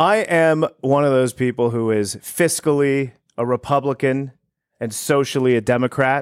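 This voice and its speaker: At a moderate pace, a man speaks at a medium pitch with ordinary pitch variation, the sound dry and close with no echo. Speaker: realtor and podcast host. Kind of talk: casual chat. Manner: animated.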